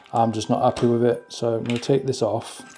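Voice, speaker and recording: With music in the background, a man speaks at a medium pitch and a fairly quick pace. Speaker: RC car hobbyist YouTuber. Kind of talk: casual repair tutorial. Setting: at home alone.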